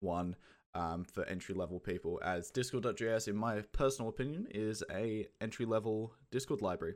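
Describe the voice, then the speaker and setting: A man with an Australian accent speaks at a moderate pace. His pitch is fairly low. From England (Kent). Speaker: podcast host running a community AMA. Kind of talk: casual live Q&A chat. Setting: Discord stage channel, live online. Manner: casual, chatty.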